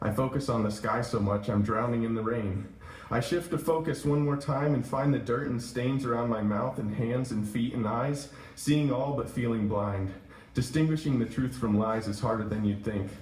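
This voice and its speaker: Over noticeable background noise, a man speaks at a moderate pace and medium pitch with ordinary pitch variation. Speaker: poet reading own work at open mic. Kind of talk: open mic poetry reading. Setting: coffee shop live audience.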